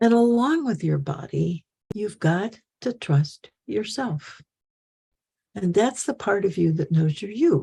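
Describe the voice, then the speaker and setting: With a medium pitch that swings very widely, a woman speaks at a very slow pace in a dark, mellow tone that is somewhat breathy. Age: 80s+. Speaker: spiritual teacher. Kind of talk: talk to followers.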